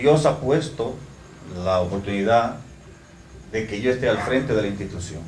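A man's voice with lively intonation at a moderate pace, broken by long, frequent pauses, plus audible room echo and light background noise. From Dominican Republic. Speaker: fire department chief. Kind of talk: ceremony speech. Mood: grateful, formal. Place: hall. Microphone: handheld.

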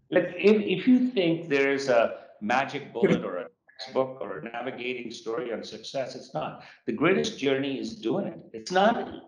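At a moderate pace, a man with a fairly high voice swings very widely in pitch and heavily in loudness, with noticeable background noise behind him. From born in Japan, Sikh Punjabi family, Western Canada. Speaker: real estate company founder and CEO; guest. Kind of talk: interview. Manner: animated. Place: office. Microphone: video call.

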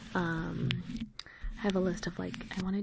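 The voice is soft-spoken and keeps a moderate pace. Noticeable background noise runs underneath. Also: woman. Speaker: ASMR creator. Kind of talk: casual vlog chat. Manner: soft, close-mic ASMR murmur. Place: home room. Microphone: studio mic.

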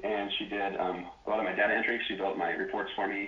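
Audible room echo and noticeable background noise surround this recording. A man talks at a fairly quick pace. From Wyoming. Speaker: former real estate appraiser, business owner. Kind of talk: interview. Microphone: phone backup recording, poor audio.

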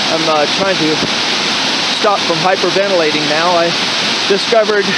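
The speech moves at a moderate pace under loud background noise. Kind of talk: casual vlog chat. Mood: nervous, frightened. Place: waterside. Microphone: phone near.

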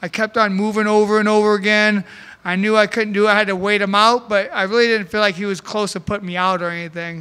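Very fast and in a raised, projected voice, a man speaks at a high pitch with a bright, sharp tone and monotone, flat intonation. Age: 40s. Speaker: MMA fighter. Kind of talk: post-fight press interview. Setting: press conference. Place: hall. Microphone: handheld.

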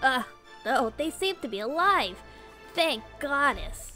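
A woman does a put-on character voice, high in pitch with big swings and a bright, sharp tone. She speaks at a slow pace over faint music in the background.

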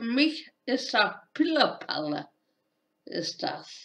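A woman speaks with lively intonation and a fairly bright tone.

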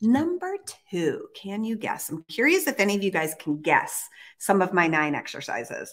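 A woman talks in an animated tone at a moderate pace. The background is quiet. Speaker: fitness trainer and live show host. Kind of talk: casual live chat. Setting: live stream, studio or home. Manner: animated, chatty. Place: gym. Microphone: webcam.

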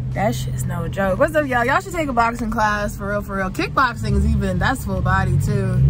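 Over loud background noise, a woman talks with hardly any pauses. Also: fairly quick pace, dry sound with no echo. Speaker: vlogger. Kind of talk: casual vlog chat. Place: car. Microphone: phone near.

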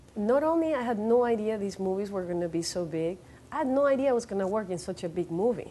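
In a Venezuelan accent, a woman talks at a very fast pace with a dark, mellow tone, medium pitch and lively intonation. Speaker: actress and model. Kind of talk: interview answer. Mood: thoughtful, reflective. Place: studio. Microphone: lapel.

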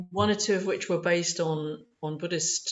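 A woman with a London accent speaks with ordinary pitch variation. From East London. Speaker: opera singer; holistic voice therapist. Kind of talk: interview answer. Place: home room. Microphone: video call.

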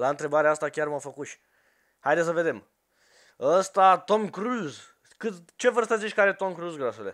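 With a high pitch and lively intonation, a man talks in an animated tone at a moderate pace, leaving long, frequent pauses against a quiet background. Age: 20s. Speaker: gaming youtuber. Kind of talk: casual chat. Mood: joking, playful. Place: home room. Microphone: headset.

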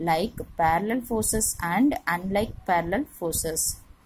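This woman's voice sits at a fairly low pitch and is somewhat breathy. Her pitch varies in an ordinary way. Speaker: teacher. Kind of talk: lecture.

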